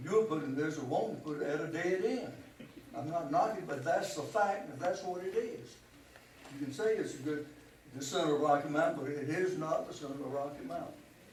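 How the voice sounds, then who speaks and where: Noticeable background noise and audible room echo surround a man with an American accent who talks at a fairly quick pace and fairly high pitch, with ordinary pitch variation. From US South. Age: 80s+. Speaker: public forum speaker, retired businessman. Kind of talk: public comment at city council. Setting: city council meeting.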